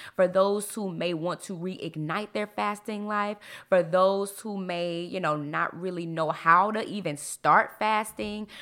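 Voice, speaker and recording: A woman speaks at a moderate pace and medium pitch, in an animated, energetic tone that is bright and sharp. The recording is very clean, with a silent background. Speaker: podcast host. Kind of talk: casual monologue. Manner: animated, varied pitch.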